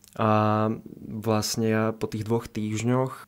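A man's flat, monotone delivery at a fairly slow pace, on a very clean recording with a silent background. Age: 20s. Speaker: medical student and back-pain patient. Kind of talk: interview. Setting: studio.

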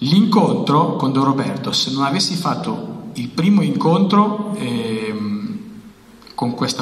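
A man at a fairly slow pace, with very wide pitch swings and audible room echo. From Albania. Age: 30s. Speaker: author; guest. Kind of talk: testimony. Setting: stage with audience. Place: hall. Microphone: handheld.

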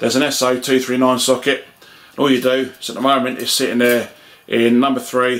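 At a fairly quick pace, a man speaks. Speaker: radio hobbyist. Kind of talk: casual vlog chat. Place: home room.

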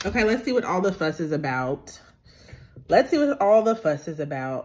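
A woman keeps to a moderate pace while light background noise hums underneath. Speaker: food vlogger. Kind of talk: casual vlog chat. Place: home room. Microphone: phone near.

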